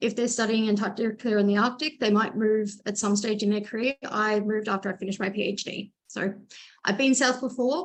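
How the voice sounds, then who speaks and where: A woman talks at a fairly quick pace, her fairly high voice keeping a fairly even intonation. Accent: Australian. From Australia. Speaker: marine scientist, postdoc. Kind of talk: lightning talk presentation. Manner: fast.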